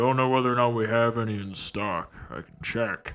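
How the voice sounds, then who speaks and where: Over faint background music, a man performs a put-on character voice. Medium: actual play. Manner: curt, gruff.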